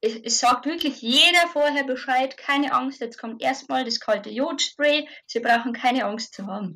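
A woman speaks at a moderate pace with a high pitch and ordinary pitch variation. Her tone is bright and sharp, and the recording is very clean over a silent background. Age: 30s. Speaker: mother sharing birth experience. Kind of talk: interview testimony. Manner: halting.

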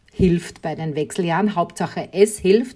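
This woman's voice is pitched in the middle and carries a somewhat breathy quality. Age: 40s. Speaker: podcast host, guest. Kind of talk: casual interview.

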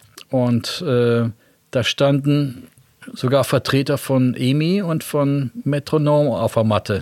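At a very slow pace, a man speaks in a medium pitch with ordinary pitch variation and very even loudness, in a dry, close sound with no echo. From West Germany. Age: 60s. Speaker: guitarist and record label founder. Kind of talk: interview.

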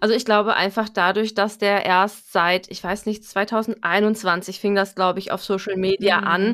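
A woman speaks fairly slowly with monotone, flat intonation. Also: medium pitch for a woman. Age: 30s. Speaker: home appliance sales consultant. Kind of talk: casual interview chat.

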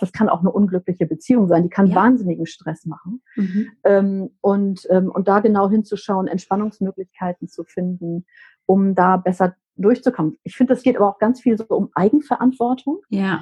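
The woman's voice is somewhat breathy. She keeps a moderate pace. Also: medium pitch for a woman, ordinary pitch variation. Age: 50s. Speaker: menopause coach and psychotherapy practitioner. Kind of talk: casual chat.

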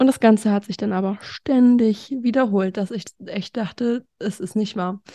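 A woman's fairly high voice with a dark, mellow tone, fairly even intonation and a moderate pace, dry and close with no echo against a quiet background. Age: 20s. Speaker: social education assistant and patient influencer. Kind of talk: interview about her medical history.

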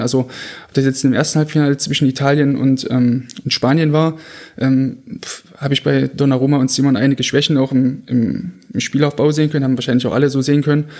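Here a man speaks with a fairly high pitch. His pace is fairly quick and his intonation fairly even. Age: 20s. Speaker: goalkeeping coach and football analyst. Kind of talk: casual analytical podcast chat. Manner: hesitant, many fillers.

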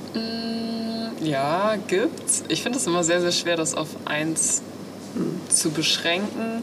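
Through noticeable background noise and audible room echo, a woman speaks at a very slow pace in a medium pitch, her intonation lively and her loudness very even. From Münsterland, Germany. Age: 20s. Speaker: amateur show jumper and project manager. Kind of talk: interview.

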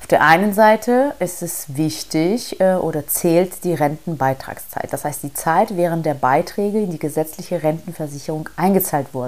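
A woman speaks in an ordinary speaking voice, fairly low in pitch, with ordinary pitch variation. Her pace is moderate, with hardly any pauses. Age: 40s. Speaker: podcast host, investment coach. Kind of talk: solo podcast monologue, explainer. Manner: casual, many filler sounds.

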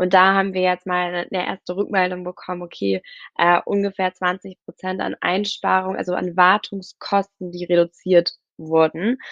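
Against a quiet background, a woman speaks at a medium pitch and moderate pace in a monotone, flat intonation, the sound dry and close with no echo. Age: 20s. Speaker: startup founder and CEO. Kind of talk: podcast interview. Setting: remote virtual studio.

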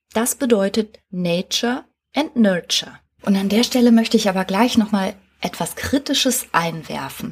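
Somewhat breathy, a woman's voice moves at a moderate pace. Her pitch varies in an ordinary way. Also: medium pitch for a woman. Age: 40s. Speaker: psychotherapist and podcast host. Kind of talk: solo podcast monologue. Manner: lively, casual.

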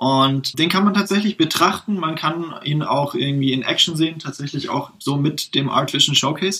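Background noise is noticeable as a man talks in a fairly high pitch. He barely pauses. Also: ordinary pitch variation, moderate pace. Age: 20s. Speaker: games engineer, tech innovation developer. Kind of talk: interview, technical explanation.

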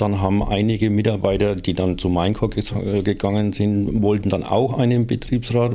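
With a dark, mellow tone and a fairly low pitch, a man talks at a moderate pace in a flat monotone, keeping his loudness very even and hardly pausing at all. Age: 60s. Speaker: works council representative. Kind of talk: casual chat.

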